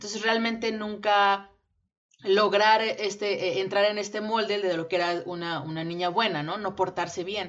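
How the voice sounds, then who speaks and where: In a normal speaking voice, the speaker keeps a moderate pace with fairly even intonation. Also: woman, medium pitch for a woman. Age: 20s. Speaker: podcast co-host, English teacher. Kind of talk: casual chat.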